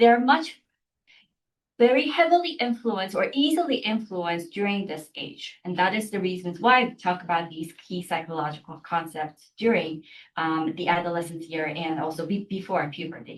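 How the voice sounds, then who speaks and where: A woman with a Korean accent talks at a moderate pace in a fairly low pitch. Her intonation is lively, and her loudness swings widely. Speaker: university lecturer. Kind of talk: lecture. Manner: hesitant, many fillers and restarts.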